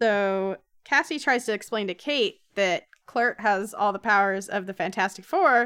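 An unforced reading voice comes through with a quiet background.

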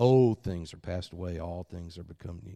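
Against a quiet background, a man speaks with an Alabama accent. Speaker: guest preacher. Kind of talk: sermon. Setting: church with congregation.

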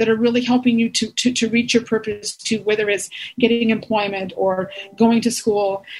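At a fairly quick pace, a woman speaks with a fairly high pitch and a somewhat breathy sound. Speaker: diabetes educator presenter. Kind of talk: webinar presentation.

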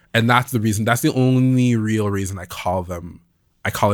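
A man at a moderate pace, on a very clean recording with a silent background. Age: 20s. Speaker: musician and producer. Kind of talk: casual chat. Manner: animated.

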